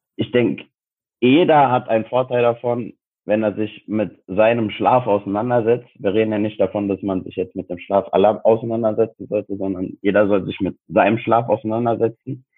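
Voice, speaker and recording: Fairly even intonation marks this man's medium-pitched voice. He has an unremarkable speaking voice. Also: moderate pace. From Frankfurt, Germany. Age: 20s. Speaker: sports science student and personal trainer. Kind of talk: casual interview chat.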